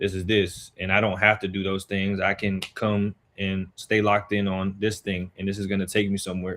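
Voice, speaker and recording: Speaking at a moderate pace with an American accent, a man has a fairly low pitch and monotone, flat intonation. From Chesapeake, Virginia, US. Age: 20s. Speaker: youth sports coach and mentor. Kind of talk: talk show interview.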